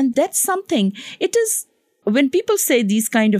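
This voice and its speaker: A somewhat breathy woman speaks at a fairly slow pace with very wide pitch swings, captured dry and close with no echo in a very clean recording with a silent background. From Pakistan. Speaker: physician and public health professor. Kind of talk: interview.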